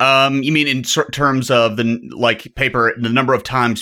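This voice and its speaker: His intonation remains fairly level. The man's tone comes across bright and sharp. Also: very clean recording, silent background. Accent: Southern US. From US South. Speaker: psychology professor and startup co-founder. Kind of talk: casual interview conversation. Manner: frequent fillers and hesitations.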